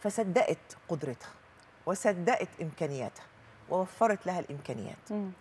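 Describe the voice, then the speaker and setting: The voice moves at a fairly slow pace with lively intonation. Light background noise is audible. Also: woman. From Egypt. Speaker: journalist and writer; journalist. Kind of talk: studio interview. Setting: studio. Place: studio.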